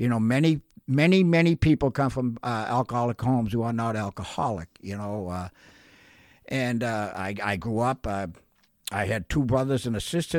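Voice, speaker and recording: A plain, everyday voice from a man with medium pitch and lively intonation at a moderate pace, dry and close with no echo, on a very clean recording with a silent background. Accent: American. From Massachusetts (North Shore). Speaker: recovering alcoholic sharing his story. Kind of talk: testimony.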